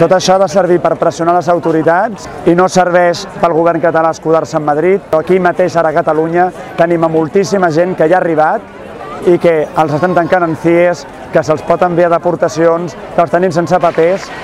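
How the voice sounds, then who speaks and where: The delivery is monotone and flat, with very even loudness at a moderate pace. The sound is dry with no echo over light background noise. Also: man, high pitch for a man. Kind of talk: interview answer.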